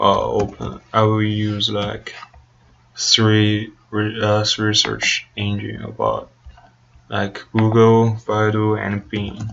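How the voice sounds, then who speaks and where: A man speaks at a very slow pace with a Chinese accent. Noticeable background noise runs behind him. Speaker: student research participant. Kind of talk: think-aloud interview. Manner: halting, many fillers.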